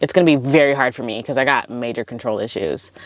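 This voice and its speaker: A woman speaks in a relaxed tone at a moderate pace. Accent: Californian. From California. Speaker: podcast host. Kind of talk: casual podcast monologue. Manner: relaxed, filler words like 'um' and 'like'.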